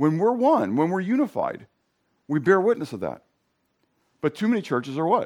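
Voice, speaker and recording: A man's high-pitched voice at a moderate pace, with very wide pitch swings and long, frequent pauses. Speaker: preacher. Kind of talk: sermon. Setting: church. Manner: halting, with fillers and restarts.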